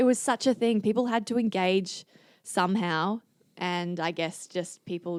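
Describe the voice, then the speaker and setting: Recorded very cleanly over a silent background, a woman with an Australian accent speaks with fairly even intonation. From Singapore and Adelaide, Australia. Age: 20s. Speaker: Olympic kayaker and physiotherapist. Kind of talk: podcast interview. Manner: casual, hesitant with fillers.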